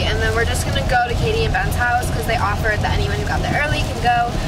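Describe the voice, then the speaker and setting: A woman talks at a very fast pace. Loud background noise surrounds her. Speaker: vlogger. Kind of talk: casual vlog chat. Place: car. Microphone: phone near.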